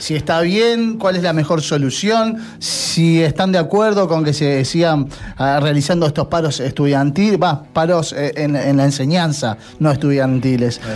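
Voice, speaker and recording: Amid noticeable background noise, a man with a fairly high pitch and lively intonation talks at a fairly slow pace. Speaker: radio host. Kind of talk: casual chat.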